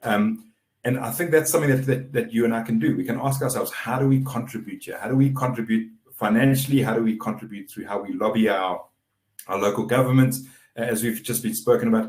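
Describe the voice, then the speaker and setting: The voice is somewhat breathy with fairly even intonation. The pace is very fast. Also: man, medium pitch for a man. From South Africa. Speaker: webinar moderator. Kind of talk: webinar moderation.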